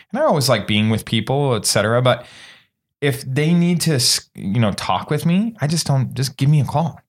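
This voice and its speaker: Speaking at a moderate pace with an American accent, a man has a fairly high, somewhat breathy voice and lively intonation. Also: very even loudness. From Indiana, US Midwest. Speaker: podcast host. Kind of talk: casual interview chat. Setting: podcast studio at a conference. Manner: animated, enthusiastic.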